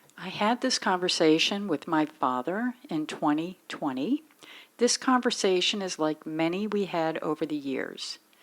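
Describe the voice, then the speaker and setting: A woman's fairly low-pitched voice with lively intonation at a fairly slow pace, an ordinary speaking voice. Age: 50s. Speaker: daughter interviewing her father. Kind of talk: casual family interview.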